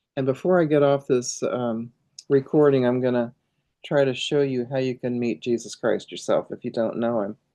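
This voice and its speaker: At a moderate pace, a woman speaks with a very deep, low pitch, a dark, mellow tone and fairly even intonation. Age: 70s. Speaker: pastor. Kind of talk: tutorial. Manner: casual, halting.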